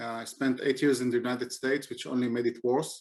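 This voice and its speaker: A man's medium-pitched voice at a fairly quick pace, with a non-native accent. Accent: non-native English speaker. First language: not English. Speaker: software engineer and conference speaker. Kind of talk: conference talk. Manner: hesitant, many fillers.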